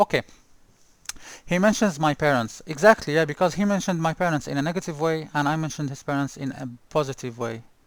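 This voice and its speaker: A man talks at a very fast pace. His pitch is fairly high, with ordinary variation. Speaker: sim racer, video creator. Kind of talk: casual monologue vlog. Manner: halting, many repetitions and fillers.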